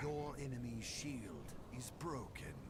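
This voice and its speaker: Against loud background noise, a man talks in a put-on character voice at a fairly slow pace. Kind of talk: archaic epic fantasy speech. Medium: game stream. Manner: grandiose, ominous.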